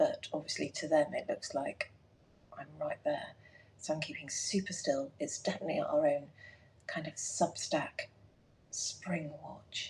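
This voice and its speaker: A woman speaks at a fairly slow pace. She leaves long, frequent pauses. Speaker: garden designer livestreaming. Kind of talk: casual live stream chat. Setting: live stream at home, filming through doors. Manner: hushed, whispering at times; halting, with many fillers.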